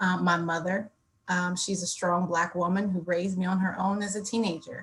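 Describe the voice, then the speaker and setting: With an American accent, a woman talks at a moderate pace in a medium pitch, her voice somewhat breathy. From Ohio, Youngstown. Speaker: diversity and inclusion officer, panelist. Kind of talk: panel discussion.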